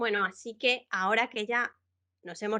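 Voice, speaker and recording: This woman speaks at a fairly high pitch with a bright, sharp tone. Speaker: educator and Minecraft content creator. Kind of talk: tutorial workshop. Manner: fast; animated.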